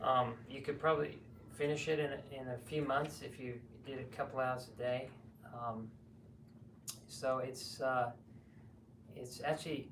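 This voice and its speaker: A man speaks at a medium pitch and a moderate pace with an Australian accent. His intonation stays fairly even, and room echo is audible. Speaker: herbalist and seminar teacher. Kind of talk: seminar talk with Q&A.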